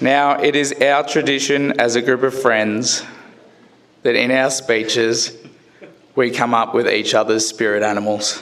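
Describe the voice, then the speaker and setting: A man with a strong Australian accent talks at a fairly slow pace in a medium pitch, with fairly even intonation and very even loudness, over noticeable background noise. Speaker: best man. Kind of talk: wedding speech.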